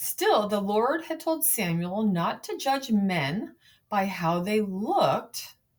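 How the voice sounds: The voice is a natural reading voice. It reads the text through.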